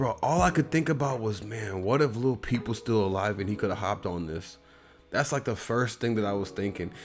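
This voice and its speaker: This man talks at a fairly quick pace in a fairly low pitch, with an American accent. His intonation is lively, and music plays in the background. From US Midwest. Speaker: music reaction youtuber. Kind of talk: casual review monologue. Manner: halting, many fillers and repetitions; casual slangy delivery.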